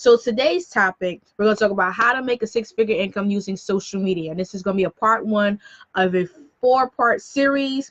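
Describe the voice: A woman speaks at a medium pitch with an American accent and ordinary pitch variation. Her pace is fairly quick.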